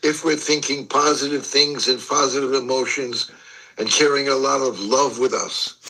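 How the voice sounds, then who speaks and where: A man speaks with a fairly high pitch and monotone, flat intonation. Noticeable background noise runs underneath. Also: moderate pace. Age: 80s+. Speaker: life coach, mentor. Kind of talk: podcast interview. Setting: live video podcast.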